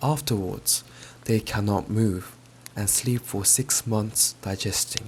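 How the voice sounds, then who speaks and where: A man speaks very slowly in a calm tone with a fairly low pitch. His voice is somewhat breathy. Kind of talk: audiobook-style storybook reading. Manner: soft, calm, ASMR-style.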